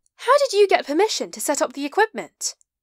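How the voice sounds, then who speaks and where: In a put-on character voice, a woman squeaks at a very fast pace and an extremely high pitch, with very wide pitch swings and big swings in loudness, in a dry, close sound with no echo. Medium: read story.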